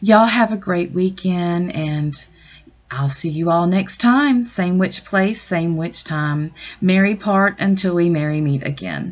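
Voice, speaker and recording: Spoken in a Southern US accent, the words come at a fairly slow pace with ordinary pitch variation. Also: woman, fairly low pitch for a woman. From US South. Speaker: astrologer and tarot reader. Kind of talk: astrology update monologue. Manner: casual with frequent fillers.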